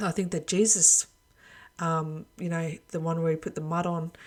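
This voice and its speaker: The pace is moderate. The speaker is a woman with a fairly low pitch. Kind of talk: religious monologue video.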